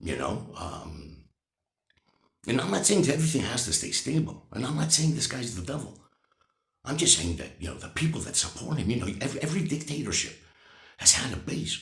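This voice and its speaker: In an animated tone, a man with a fairly high pitch talks at a fairly quick pace with very wide pitch swings and long, frequent pauses, and audible room echo. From United States. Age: 60s. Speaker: vlogger. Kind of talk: political opinion monologue. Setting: morning vlog.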